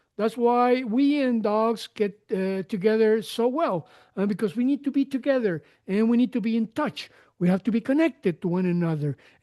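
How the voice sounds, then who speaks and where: Speaking in a Spanish accent, a man has a high pitch, a dark, mellow tone and lively intonation at a moderate pace. His loudness stays very even, with a dry, close sound, no echo and a quiet background. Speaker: podcast host. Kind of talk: interview conversation. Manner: halting.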